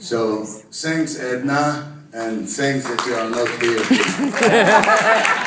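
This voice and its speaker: A man's voice with audible room echo. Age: 60s. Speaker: award recipient. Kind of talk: acceptance speech.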